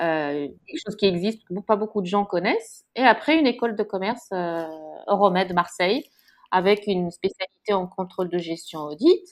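A woman speaks in a plain, everyday voice. Her pace is moderate, with ordinary pitch variation. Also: medium pitch for a woman. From Morocco, Casablanca. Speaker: chef and TV presenter. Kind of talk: interview.

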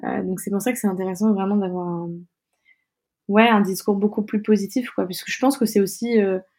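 A somewhat breathy woman at a medium pitch and moderate pace, with fairly even intonation and long, frequent pauses, on a very clean recording with a silent background. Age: 20s. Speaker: UX design student and founder of a media site. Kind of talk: interview. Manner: halting.

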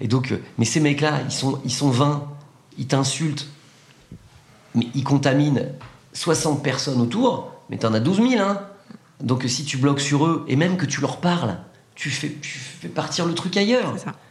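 Over noticeable background noise and audible room echo, a man speaks fairly slowly at a fairly high pitch, with ordinary pitch variation and long, frequent pauses. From France, Loire. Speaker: comedian and corporate coach. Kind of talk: casual chat. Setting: in person, Paris. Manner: animated; halting, many repeated words.

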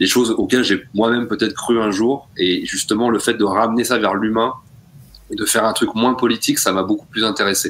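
This man has an unremarkable speaking voice, medium in pitch, with very even loudness, fairly even intonation and a fairly quick pace. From rural France. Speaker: podcast co-host. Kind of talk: casual chat.

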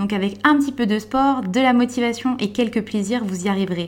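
A plain, everyday voice from a woman, fairly high in pitch, with ordinary pitch variation and a moderate pace. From France, Vosges. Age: 20s. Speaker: bank adviser and volunteer firefighter, weight-loss client. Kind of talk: testimony. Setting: dietitian's office.

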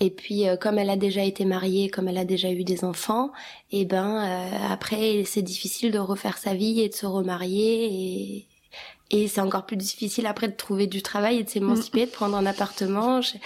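At a moderate pace, a woman talks at medium pitch in a monotone, flat intonation. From France, born in Kosovo. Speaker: podcast guest. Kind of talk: casual chat. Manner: halting.

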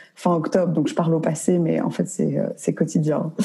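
Noticeable background noise beneath fairly quick talking. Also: woman. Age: 20s. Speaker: entrepreneur. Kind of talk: interview. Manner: halting.

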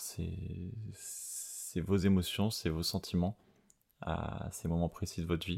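Very deep and low in pitch, a man speaks very slowly with a dark, mellow tone and fairly even intonation in a very clean recording with a silent background. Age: 30s. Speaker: podcast host. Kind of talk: unscripted personal monologue. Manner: hesitant, many fillers and repetitions.

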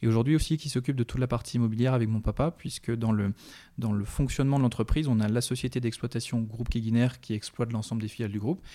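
A man's medium-pitched voice, dark and mellow in tone, with fairly even intonation at a very fast pace on a very clean recording with a silent background. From Brittany, France. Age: 30s. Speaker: business executive. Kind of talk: interview. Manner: hesitant, many repetitions.

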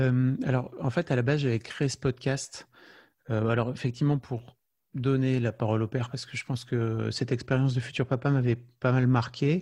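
Somewhat breathy and dark, mellow in tone, a man of medium pitch speaks at a moderate pace with fairly even intonation against a quiet background. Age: 40s. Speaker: podcaster and father. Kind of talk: interview. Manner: halting, with many fillers and repetitions.

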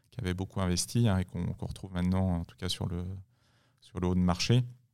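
A man talks in a very deep, low voice. The background is silent and the recording very clean. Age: 40s. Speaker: tech executive. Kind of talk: interview. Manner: halting.

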